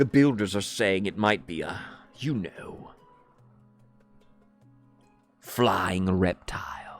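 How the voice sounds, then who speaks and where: Over faint music in the background, a man in a put-on character voice speaks quietly at fairly low pitch and very slow pace, with long, frequent pauses. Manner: lowered, hushed, conspiratorial.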